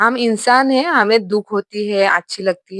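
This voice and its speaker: The speaker has a non-native accent, recorded with a dry, close sound and no echo. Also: woman. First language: not Hindi (speaking Hindi). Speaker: YouTuber, reaction commentator. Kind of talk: reaction commentary. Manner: animated.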